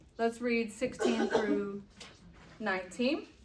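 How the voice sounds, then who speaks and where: Noticeable background noise and audible room echo accompany a woman who talks at a very slow pace. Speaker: Bible study teacher. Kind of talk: Bible study teaching. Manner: casual, conversational.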